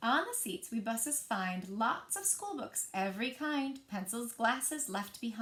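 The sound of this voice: Intonation stays lively in an unforced reading voice.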